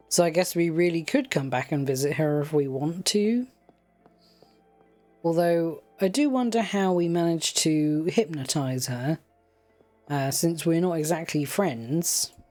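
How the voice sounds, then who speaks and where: Music plays in the background as the voice, relaxed and calm, moves at a fairly slow pace with long, frequent pauses. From United Kingdom. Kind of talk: casual let's play game commentary. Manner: relaxed, calm.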